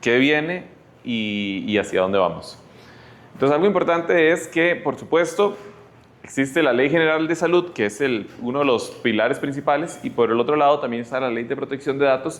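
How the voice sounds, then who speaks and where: With lively intonation and a Costa Rican accent, a man speaks amid audible room echo. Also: fairly high pitch for a man, moderate pace. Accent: Costa Rican Spanish, noticeable. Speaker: health tech speaker. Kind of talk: lecture. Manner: halting.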